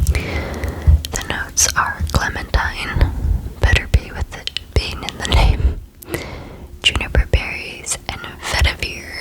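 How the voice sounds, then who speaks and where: A woman is whispering at a very slow pace with big swings in loudness over noticeable background noise. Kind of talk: ASMR whisper video. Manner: whispered, soft, relaxing.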